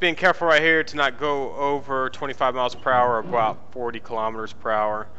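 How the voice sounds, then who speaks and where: A man at medium pitch, with ordinary pitch variation, talks with hardly any pauses in a room with audible echo. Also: fairly quick pace. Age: middle-aged. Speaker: gaming video creator. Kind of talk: gameplay commentary. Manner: fast; casual.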